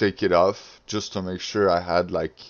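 A man speaks with a non-native accent. His pitch is very deep and low. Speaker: video game player. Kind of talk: casual gaming tutorial talk.

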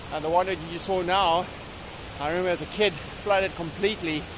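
Fairly even intonation at a moderate pace comes through a dry sound with no echo and noticeable background noise. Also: man. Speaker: mountain biker vlogger. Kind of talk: casual vlog chat. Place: forest. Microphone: phone near.

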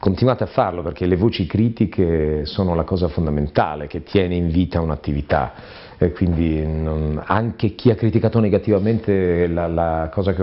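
A man's very deep, low voice at a moderate pace, with hardly any pauses and ordinary pitch variation. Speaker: voice actor. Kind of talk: interview answer. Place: home room.

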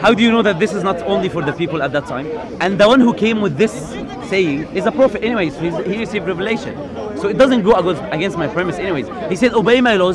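A man speaks very fast in a high pitch with lively intonation, crowd noise behind him and a dry sound with no echo. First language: not English. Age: young. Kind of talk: heated debate. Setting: outdoors. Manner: halting. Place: street.

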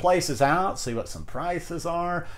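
With lively intonation, a man is talking. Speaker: vlogger. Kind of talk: casual vlog chat. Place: home room.

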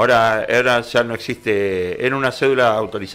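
A man talks at a moderate pace. His pitch varies in an ordinary way. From Argentina. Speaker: vehicle registration agent; interview guest. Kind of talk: explanatory interview. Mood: calm, explanatory. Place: studio. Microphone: studio mic.

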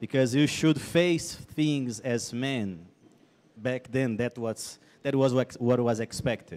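Speaking in a Brazilian accent at a very slow pace, a man uses a medium pitch and ordinary pitch variation. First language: Portuguese (speaking Spanish). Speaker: missionary speaker; speaker. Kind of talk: testimony. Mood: earnest, reflective storytelling. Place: stage. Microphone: handheld.

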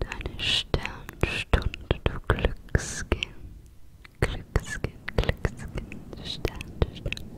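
A woman whispers at a very slow pace. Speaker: ASMR creator. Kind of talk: ASMR whispered trigger words. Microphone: studio mic.

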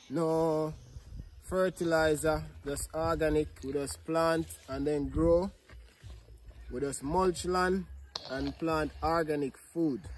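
The pace is very slow, with long, frequent pauses. Light background noise sits underneath. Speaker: farmer vlogger. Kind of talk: casual vlog chat. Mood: cheerful and joking. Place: open country. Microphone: phone near.

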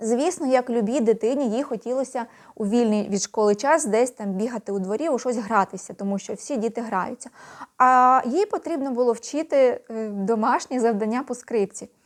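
In a very clean recording with a silent background, a woman speaks at a moderate pace, her high pitch showing ordinary variation. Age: 50s. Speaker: video blogger. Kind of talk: casual vlog monologue. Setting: at home at night.

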